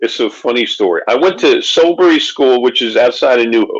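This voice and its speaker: Talking at a fairly quick pace, a man speaks with a Philadelphia accent. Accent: Philadelphia-area American. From Pennsylvania. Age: 60s. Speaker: author. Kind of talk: casual chat.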